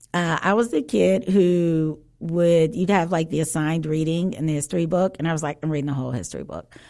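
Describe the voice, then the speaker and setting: At a fairly quick pace with hardly any pauses, a woman speaks in a fairly low pitch with ordinary pitch variation and a dark, mellow tone. The recording is very clean, with a silent background. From Chicago South Side. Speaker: author and co-host. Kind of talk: casual chat.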